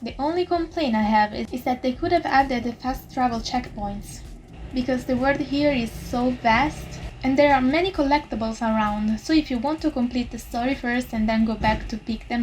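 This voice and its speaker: With an Italian accent, a woman speaks at a high pitch and a moderate pace, using ordinary pitch variation. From Italy. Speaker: YouTuber and VTuber reviewer. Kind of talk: scripted review narration. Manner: quiet, not loud. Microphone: poor audio quality.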